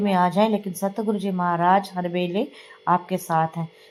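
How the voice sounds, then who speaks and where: A tired tone over noticeable background noise. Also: woman. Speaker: devotional satsang vlogger. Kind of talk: devotional vlog narration. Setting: home, editing at night. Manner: tired, unsteady.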